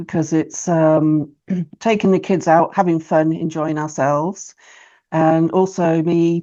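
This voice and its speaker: With an ordinary speaking voice, a woman talks at a fairly slow pace using fairly even intonation. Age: 40s. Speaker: history YouTuber and English tutor. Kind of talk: casual chat.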